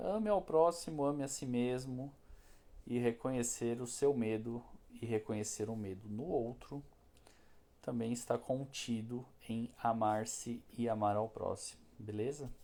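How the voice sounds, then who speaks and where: At a fairly slow pace, a man speaks in a dark, mellow tone with medium pitch and ordinary pitch variation. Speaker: spiritist lecturer. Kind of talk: spiritual talk. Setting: live stream. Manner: casual, conversational.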